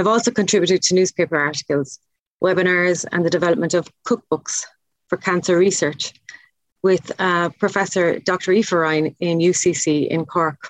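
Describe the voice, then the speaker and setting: A woman speaks with an Irish accent and fairly even intonation. Her loudness stays very even. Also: moderate pace, dry, close sound with no echo. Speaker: chef, podcast guest.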